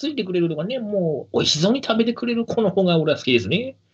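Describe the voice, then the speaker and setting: A man with a high pitch talks very fast, his pitch swinging very widely. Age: 30s. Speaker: podcast host. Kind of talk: casual chat.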